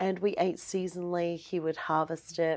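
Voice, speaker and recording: Recorded very cleanly against a silent background, a woman with an Australian accent talks at a fairly slow pace and a fairly low pitch. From Australia, Melbourne. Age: 40s. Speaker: aromatherapist. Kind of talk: casual interview. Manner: animated.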